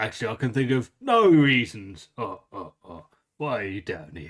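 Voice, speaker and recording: This raspy, put-on character voice moves at a moderate pace. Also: man, medium pitch for a man. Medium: actual play. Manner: weird chuckling, jolly like Santa.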